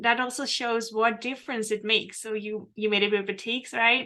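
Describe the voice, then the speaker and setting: With a Dutch accent, the speaker delivers the words in a monotone, flat way against a quiet background. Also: woman. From Netherlands. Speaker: quilt pattern designer. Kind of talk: casual interview chat.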